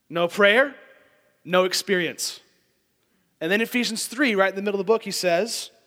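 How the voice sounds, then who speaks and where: A bright, sharp tone in a raised, projected voice at a moderate pace. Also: man. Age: 20s. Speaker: lay preacher, church board member. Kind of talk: sermon.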